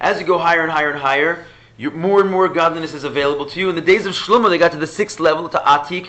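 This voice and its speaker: A man's high voice at a very fast pace, with ordinary pitch variation and audible room echo. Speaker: rabbi teaching Chassidus class. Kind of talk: lecture.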